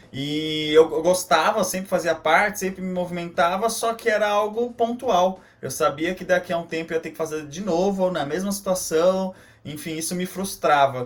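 At a moderate pace, a man talks in a high pitch. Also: ordinary pitch variation. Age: 20s. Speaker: social entrepreneur, company founder. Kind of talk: casual interview.

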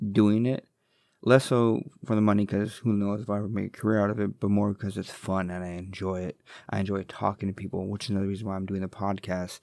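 A man talks at a fairly quick pace with a fairly low pitch. His intonation is fairly even on a very clean recording with a silent background. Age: 40s. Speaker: podcast host. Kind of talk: casual solo monologue. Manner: rambling, conversational.

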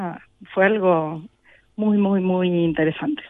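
The voice belongs to a woman. She varies her pitch in an ordinary way. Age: young. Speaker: percussionist. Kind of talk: interview. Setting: backstage.

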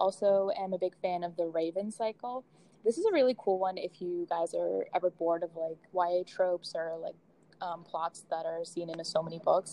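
The speaker has an ordinary speaking voice with an American accent. The pace is moderate and the intonation fairly even. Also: woman, fairly low pitch for a woman. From Boston, US. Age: 20s. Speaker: podcast host, university student. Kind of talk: casual chat.

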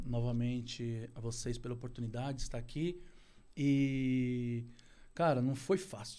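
Through audible room echo, a man with medium pitch and a dark, mellow tone speaks fairly slowly with fairly even intonation. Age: 40s. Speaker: outsourcing business owner. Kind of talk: casual interview. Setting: studio.

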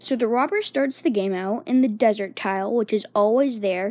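Fairly high in pitch with ordinary pitch variation, a woman speaks at a moderate pace in a dark, mellow tone. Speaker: podcast host. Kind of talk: casual monologue. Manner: hesitant, many fillers.

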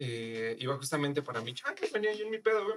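Lively intonation carries this man's fairly high-pitched voice, an ordinary speaking voice. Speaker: podcast guest. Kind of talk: casual chat.

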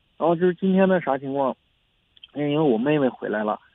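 With normal pitch movement, a man delivers his words fairly quickly. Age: 30s. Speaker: caller, construction worker. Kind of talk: call-in advice show. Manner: halting, hesitant.

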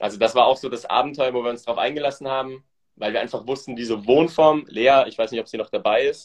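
Delivered at a very fast pace, the speech keeps fairly even intonation throughout. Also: man, medium pitch for a man. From Switzerland. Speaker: podcast host, entrepreneur. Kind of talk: casual interview chat, Instagram live.

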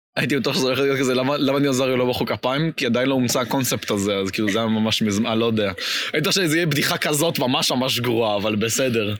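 Speaking at a very fast pace with hardly any pauses, a man with a medium-pitched voice sounds animated, his loudness very even and his pitch varying in an ordinary way, against noticeable background noise. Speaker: podcast host. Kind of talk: casual chat.

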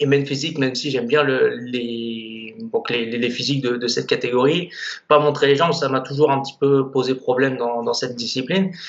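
A man at medium pitch, with noticeable background noise. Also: ordinary pitch variation, fairly quick pace. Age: 20s. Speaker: bodybuilder. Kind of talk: casual interview.

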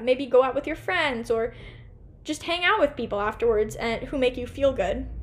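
Speaking at a fairly quick pace, a woman with an American accent uses a high pitch that moves in very wide swings. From US Pacific Northwest, Portland, Oregon. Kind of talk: casual solo podcast talk. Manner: fast.

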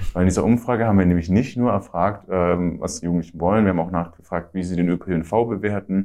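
A man talks very fast with hardly any pauses and fairly even intonation. His tone is dark and mellow, his pitch very deep and low. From Middle Franconia, Bavaria (Ansbach). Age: 20s. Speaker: student and youth party activist. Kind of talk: interview.

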